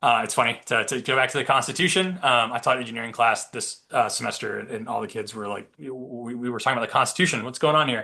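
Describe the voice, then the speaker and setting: Very fast male speech with hardly any pauses, a bright, sharp tone and vocal fry. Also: medium pitch for a man, ordinary pitch variation. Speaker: patent attorney presenter. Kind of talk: webinar presentation. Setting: webinar. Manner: many fillers (um, uh).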